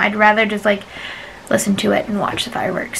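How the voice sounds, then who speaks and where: Noticeable noise sits behind a woman as she talks. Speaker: travel vlogger. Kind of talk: casual vlog narration. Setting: sit-down recording. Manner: fast; chatty, many fillers.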